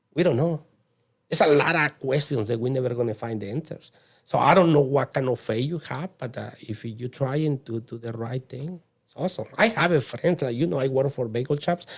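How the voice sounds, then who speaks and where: A man with a Mexican accent talks fairly quickly at a medium pitch, somewhat breathy, with ordinary pitch variation and big swings in loudness. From Mexico. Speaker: immigrant guest. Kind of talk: casual interview chat.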